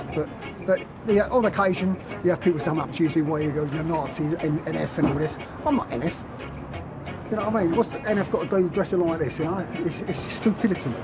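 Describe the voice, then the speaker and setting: A very fast pace over noticeable background noise. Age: 60s. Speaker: skinhead subculture member. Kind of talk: interview.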